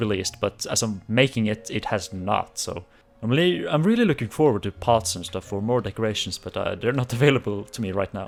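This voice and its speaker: A man at a very fast pace with a non-native accent, music in the background. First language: not English. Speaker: Minecraft gaming YouTuber. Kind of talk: casual gameplay commentary. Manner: hesitant, with many fillers and false starts.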